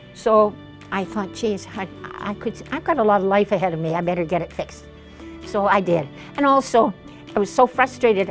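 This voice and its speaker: Music plays in the background as a woman talks at a fairly quick pace. Her pitch is medium. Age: 80s+. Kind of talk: interview answer.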